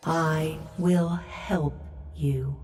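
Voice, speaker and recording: The speaker uses a put-on character voice. The pitch sits in the middle. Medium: video game. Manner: slow, measured.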